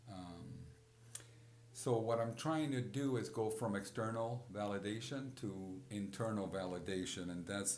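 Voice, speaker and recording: Inside a space with audible room echo, a man with a Spanish accent talks at a moderate pace and a medium pitch. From Puerto Rico. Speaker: podcast host. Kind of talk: personal reflective monologue. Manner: halting, frequent repetitions and fillers.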